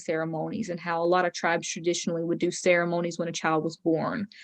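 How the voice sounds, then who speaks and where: A woman with an American accent talks very fast in a fairly low pitch. Her intonation is monotone and flat against a quiet background. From Robeson County, North Carolina (Lumbee). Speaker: speaker on Native culture. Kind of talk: panel discussion talk. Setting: video call.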